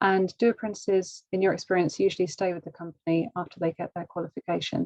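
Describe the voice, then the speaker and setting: A woman talks at a very fast pace and medium pitch with a British accent. The sound is dry and close, with no echo. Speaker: webinar host. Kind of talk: live webinar Q&A. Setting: video call.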